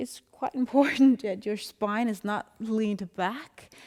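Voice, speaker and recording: A calm, dark, mellow tone at a very slow pace, with ordinary pitch variation. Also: woman. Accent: Danish. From Denmark. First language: Danish. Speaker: yoga instructor. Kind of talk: guided yoga class instruction. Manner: calm, slow.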